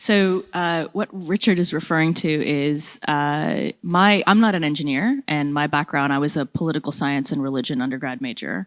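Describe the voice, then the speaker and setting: In a very clean recording with a silent background, a woman speaks at a moderate pace, her very deep, low pitch showing ordinary variation. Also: hardly any pauses. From United States. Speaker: nonprofit program director. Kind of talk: panel discussion.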